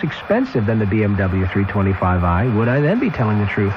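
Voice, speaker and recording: Through noticeable background noise, a man talks at a fairly quick pace with very wide pitch swings. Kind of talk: radio commercial read.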